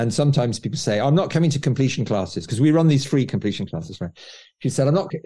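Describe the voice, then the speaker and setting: A man speaks very fast at a medium pitch, with vocal fry in his voice. His intonation is lively. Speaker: author. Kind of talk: casual interview chat.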